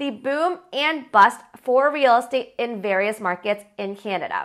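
In a raised, projected voice with a bright, sharp tone, the speaker goes at a fairly slow pace with very wide pitch swings against a quiet background. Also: woman. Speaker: presenter. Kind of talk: educational commentary. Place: home room. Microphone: lapel.

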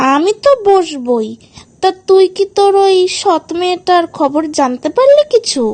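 Cartoonish character voice from a woman, extremely high in pitch with very wide pitch swings, very even loudness and a moderate pace, in a dry, close sound with no echo. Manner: condescending, conspiratorial.

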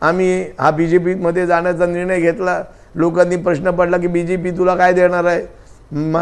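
This man speaks at a high pitch. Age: 60s. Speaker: former state legislator. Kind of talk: news interview.

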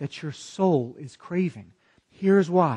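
The voice is somewhat breathy and very slow. The background is quiet. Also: man. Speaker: pastor. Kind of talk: sermon preached online. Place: church. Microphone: lapel.

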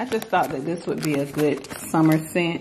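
A woman's low voice with a slightly mellow tone, ordinary pitch variation, a moderate pace and audible room echo

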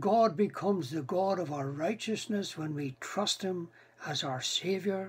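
Speaking at a fairly slow pace, a man uses a high pitch with ordinary pitch variation. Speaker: preacher. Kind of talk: sermon. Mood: calm, reflective. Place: home room. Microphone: webcam.

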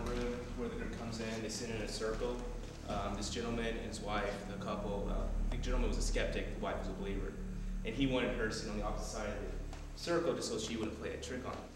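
A man talks very fast, with audible room echo and noticeable background noise around him. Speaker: tour guide. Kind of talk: storytelling tour explanation. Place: empty room. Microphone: camera far.

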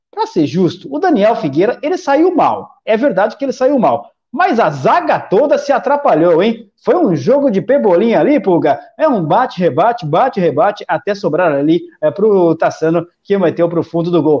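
A man with a Brazilian accent, a dark, mellow tone, high pitch with very wide swings, moderate pace, quiet background. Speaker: sports betting live commentator. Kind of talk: live sports commentary. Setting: online livestream. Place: home room. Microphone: headset.

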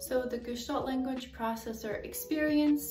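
Clear music plays in the background as the speaker keeps a moderate pace. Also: woman. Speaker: educator on language development. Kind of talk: educational explainer. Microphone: earbuds.

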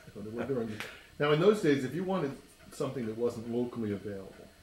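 Over light background noise and audible room echo, a man talks very fast with lively intonation and big swings in loudness. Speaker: oral history interviewer. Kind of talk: interviewer questions. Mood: cheerful, relaxed. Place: home room.

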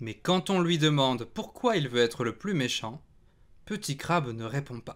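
At a fairly slow pace, a man with a fairly high pitch uses a gentle, playful tone and lively intonation. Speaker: storybook reader. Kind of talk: bedtime story reading aloud to children, picture book narration. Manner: gentle, unhurried, playful storyteller; animated, sound effects on 'zic zic zic'.

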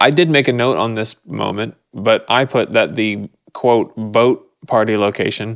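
A man with an ordinary speaking voice talks at a medium pitch and a fairly slow pace, with ordinary pitch variation. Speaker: podcast co-host. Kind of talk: casual chat.

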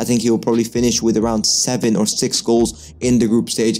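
At a fairly quick pace a man talks while faint music plays in the background. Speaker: football commentator on a channel. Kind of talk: commentary. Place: home room. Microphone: studio mic.

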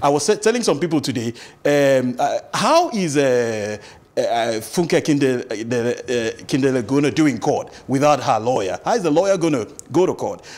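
A man with a Nigerian accent at a fairly slow pace, fairly high in pitch with lively intonation. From Nigeria, Akwa Ibom State. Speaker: lawyer. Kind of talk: studio interview. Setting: studio. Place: studio. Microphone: lapel.

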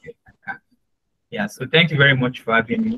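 Very wide pitch swings in a man's speech. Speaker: resume and CV trainer; CV trainer. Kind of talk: tutorial; presentation talk. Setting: video call. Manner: friendly, hesitant with fillers. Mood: friendly, smiling. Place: home room. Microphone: video call.

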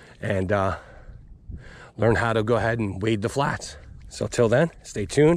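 The recording is dry, with no echo. A man speaks with ordinary pitch variation. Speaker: fishing guide. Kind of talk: casual vlog chat. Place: waterside. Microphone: phone near.

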